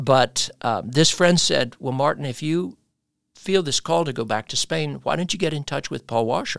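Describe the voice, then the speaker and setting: In a very clean recording with a silent background and a dry, close sound with no echo, a man with an American accent uses a plain, everyday voice with a fairly high pitch, lively intonation and a moderate pace. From United States. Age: 60s. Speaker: pastor. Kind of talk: interview.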